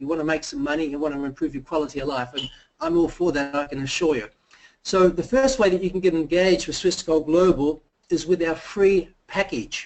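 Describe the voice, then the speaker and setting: An unremarkable speaking voice, a man talks at a fairly quick pace in a fairly high pitch with ordinary pitch variation. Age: 50s. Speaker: company presenter. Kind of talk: sales pitch.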